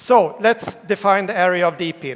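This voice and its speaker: A man speaks with a Swedish accent at a high pitch. His pace is moderate. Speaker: tech company CEO, keynote speaker. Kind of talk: conference keynote. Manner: hesitant, with fillers.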